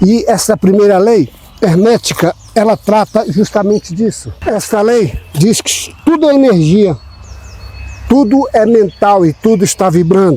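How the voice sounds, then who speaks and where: Over noticeable background noise, a man speaks at a high pitch with lively intonation and very even loudness. His pace is fairly slow. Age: 60s. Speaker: spiritual self-help channel host. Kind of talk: motivational talk.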